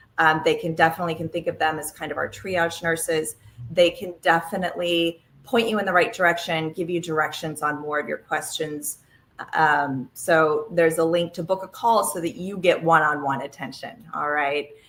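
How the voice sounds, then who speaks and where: At a moderate pace, a woman talks in a fairly low voice with ordinary pitch variation. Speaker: health webinar presenter. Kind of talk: live webinar presentation. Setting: live online broadcast. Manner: animated.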